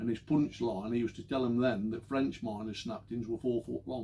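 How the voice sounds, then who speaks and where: A somewhat breathy voice with a dark, mellow tone, at a fairly quick pace with ordinary pitch variation. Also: man. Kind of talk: oral history talk. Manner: casual, anecdotal.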